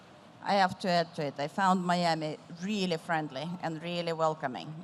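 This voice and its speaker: The delivery is monotone, with flat intonation. It comes in an Eastern European accent. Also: woman. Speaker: tech executive moderating a panel. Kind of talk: panel discussion. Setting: stage with audience.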